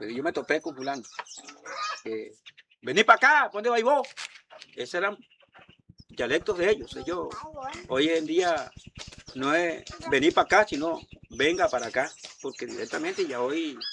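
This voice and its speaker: A man with a high pitch and bright, sharp tone moves at a moderate pace, his pitch swinging very widely between long, frequent pauses. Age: 70s. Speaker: elderly local resident. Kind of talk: interview.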